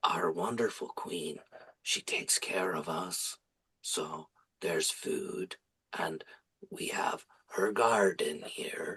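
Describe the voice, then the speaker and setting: A man whispers in a put-on character voice at a very slow pace, leaving long, frequent pauses. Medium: actual play. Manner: calm and matter-of-fact.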